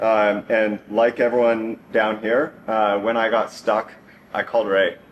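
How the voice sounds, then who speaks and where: There is noticeable background noise as a man talks. He has a medium pitch and an American accent. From Northern California. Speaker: software engineer, grandson giving eulogy. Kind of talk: eulogy. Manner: hesitant, many fillers.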